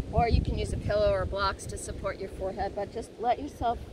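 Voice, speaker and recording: A gentle, warm voice at a fairly quick pace, dry with no echo, over noticeable background noise. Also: woman. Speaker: yoga instructor. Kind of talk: guided yoga class cueing poses and breaths step by step. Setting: outdoors on a beach. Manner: gentle, encouraging, informal with self-deprecating laughs; warm, affectionate, soothing. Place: beach.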